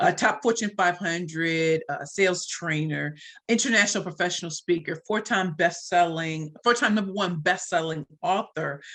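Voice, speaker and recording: Her tone bright and sharp, a woman speaks at a moderate pace with a fairly low pitch and ordinary pitch variation. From US Midwest, St. Louis, Missouri. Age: 40s. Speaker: sales trainer and speaker. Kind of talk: podcast interview. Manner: animated.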